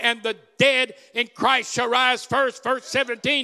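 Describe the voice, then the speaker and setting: An animated, raised and projected voice with a bright, sharp tone comes at a fairly slow pace in a dry, close sound with no echo. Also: man. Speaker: visiting preacher. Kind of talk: sermon, testimony-filled preaching. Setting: church with congregation. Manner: animated, jovial, rousing call-and-response preacher.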